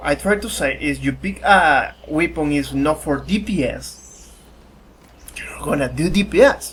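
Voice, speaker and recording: The speaker talks with a Spanish accent. Background noise is noticeable. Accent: Spanish accent, self-described weird. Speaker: gaming youtuber. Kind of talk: tutorial. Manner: halting.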